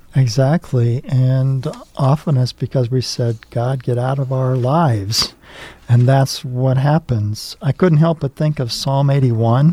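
A man at a very slow pace, medium in pitch, with fairly even intonation, a dry, close sound with no echo and noticeable background noise. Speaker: priest and chaplain. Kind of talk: casual chat. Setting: studio.

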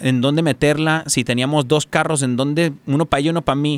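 An unremarkable speaking voice from a man, fairly high in pitch, with fairly even intonation and a dry, close sound with no echo. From Tijuana–San Diego border. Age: 30s. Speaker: radio operator. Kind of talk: casual interview.

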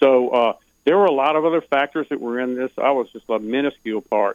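A man with an American accent speaks in a normal speaking voice at a fairly quick pace.

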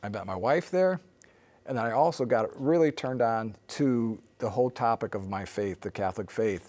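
A man with an American accent speaks at a moderate pace and medium pitch in an unremarkable speaking voice. The recording is very clean, with a silent background. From US Midwest (northern Illinois). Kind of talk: interview.

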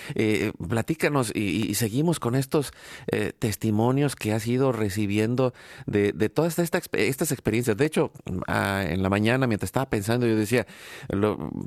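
A man with a Mexican accent speaks at a moderate pace and medium pitch, with lively intonation and very even loudness, on a very clean recording with a silent background and a dry, close sound with no echo. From Mexico. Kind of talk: live radio interview. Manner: halting, many fillers and repetitions.

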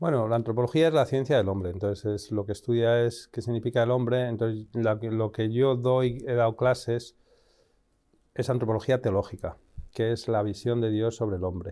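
An unremarkable speaking voice from a man, medium in pitch, at a moderate pace with fairly even intonation. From Spain, Madrid. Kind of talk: interview.

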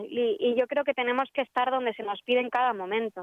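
A woman talks at a moderate pace. Her high pitch varies an ordinary amount. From Spain. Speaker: film distributor. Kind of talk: radio interview.

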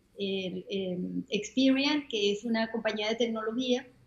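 A high-pitched woman's voice with ordinary pitch variation against noticeable background noise. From Venezuela. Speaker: retired HR executive and volunteer. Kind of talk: interview.

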